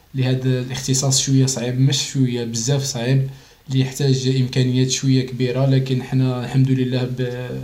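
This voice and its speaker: A man speaks at a moderate pace and medium pitch, with hardly any pauses. His intonation is monotone and flat and his loudness very even, with audible room echo and noticeable background noise. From Algeria, Constantine province. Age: 20s. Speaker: olympic athlete. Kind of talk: interview.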